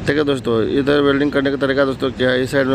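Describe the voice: Against clear background noise, a man speaks at medium pitch.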